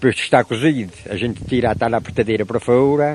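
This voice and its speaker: A man speaks at a fairly quick pace with a medium pitch. His pitch varies in an ordinary way. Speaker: craftsman. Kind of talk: interview answer.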